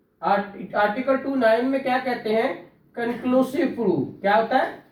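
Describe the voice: A man speaks at a moderate pace with an extremely high pitch. Audible room echo surrounds his voice. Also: ordinary pitch variation.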